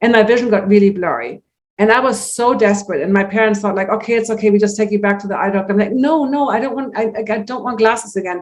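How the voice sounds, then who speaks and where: At a very fast pace, a woman speaks with a German accent. Her pitch is fairly high. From Germany, Hamburg. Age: 60s. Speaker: natural vision teacher. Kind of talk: interview. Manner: animated.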